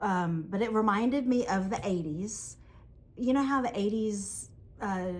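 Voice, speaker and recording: A somewhat breathy woman with a Southern US accent and a medium pitch speaks at a fairly slow pace. Audible room echo surrounds her voice. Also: ordinary pitch variation. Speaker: yarn shop owner and podcast co-host. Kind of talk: casual chat. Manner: animated.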